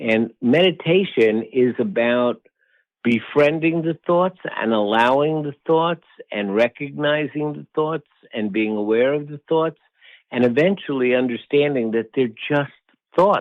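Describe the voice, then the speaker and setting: This man has an unremarkable speaking voice, fairly high in pitch for a man. He talks at a fairly slow pace with ordinary pitch variation. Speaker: meditation teacher; wellness professor. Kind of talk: podcast interview answer.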